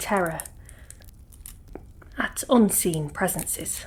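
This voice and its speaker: Soft-spoken and at a very slow pace, a woman talks at medium pitch with ordinary pitch variation. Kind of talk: ASMR ghost story narration.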